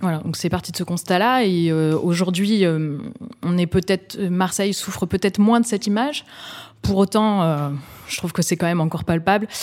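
A woman at medium pitch talks in an ordinary speaking voice at a moderate pace, with ordinary pitch variation. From Bordeaux, France. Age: 30s. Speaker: social entrepreneur. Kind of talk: interview. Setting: office.

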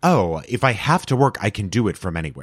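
With lively intonation and an American accent, a man is recorded very cleanly, dry and close with no echo, over a silent background. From Texas, El Paso. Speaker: actor and comedian. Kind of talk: casual chat.

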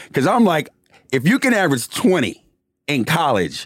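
A man speaks with a Bronx accent, his tone animated. He talks at a moderate pace. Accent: New York, Bronx. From New York City, the Bronx. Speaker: former professional basketball player and commentator. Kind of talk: casual interview.

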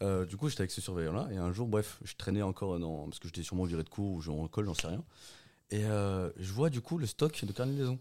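Very fast and lively in intonation, a man's fairly low, dark, mellow voice rushes along. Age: 20s. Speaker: podcast guest. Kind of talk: casual chat.

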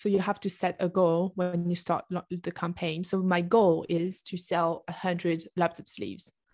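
On a very clean recording with a silent background and a dry, close sound with no echo, a woman with a French accent speaks fairly slowly with fairly even intonation. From southern France. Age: 20s. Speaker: entrepreneur. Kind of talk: interview. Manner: halting.

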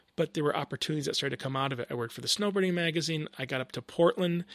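In an American accent, a man speaks high in pitch with lively intonation. The sound is dry and close, with no echo. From Northern Michigan. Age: 40s. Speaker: graphic designer. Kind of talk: casual chat. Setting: backyard studio. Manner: animated.

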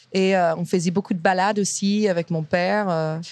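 A woman's medium-pitched voice with fairly even intonation at a moderate pace, over a quiet background. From US, Virginia. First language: English (speaking French). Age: 30s. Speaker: chef and restaurant owner. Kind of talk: interview. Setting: restaurant kitchen.

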